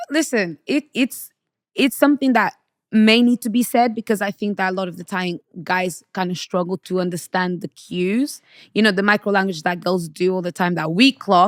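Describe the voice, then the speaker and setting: A woman speaks with a Portuguese accent at a fairly quick pace, her pitch medium with ordinary variation. The recording is very clean with a silent background and a dry, close sound with no echo. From Portugal, Angolan parents; UK from age 12. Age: 30s. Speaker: podcast guest, women's relationship commentator. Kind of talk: casual interview. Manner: bold, assertive.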